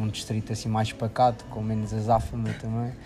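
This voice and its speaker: Speaking at a fairly quick pace over background music, a man with a European Portuguese accent talks at a medium pitch. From Portugal, Figueira da Foz. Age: 20s. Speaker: engineering student. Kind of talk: casual interview.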